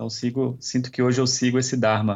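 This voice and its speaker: A man talks in an ordinary speaking voice. His pitch is medium and his pace fairly quick. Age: 40s. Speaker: yoga instructor. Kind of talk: interview.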